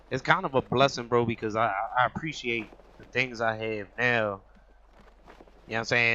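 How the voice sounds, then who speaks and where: Fairly quick pace and fairly even intonation from a man with an ordinary speaking voice, medium pitch and an American accent. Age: 30s. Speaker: podcast host. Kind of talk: casual chat.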